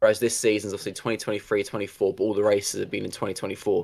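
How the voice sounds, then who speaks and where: On a very clean recording with a silent background, a man's voice is heard. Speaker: motorsport YouTube presenter. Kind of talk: casual chat.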